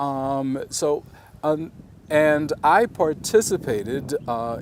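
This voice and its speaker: A fairly high-pitched man with an American accent, against noticeable background noise. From South Carolina Lowcountry. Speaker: museum education executive. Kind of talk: interview answer. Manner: thoughtful, measured, with hesitations.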